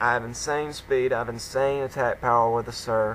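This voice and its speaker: A medium-pitched man with an Alabama accent, monotone, flat intonation and a moderate pace, over noticeable background noise. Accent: Southern US (Alabama). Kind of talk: game commentary voice-over.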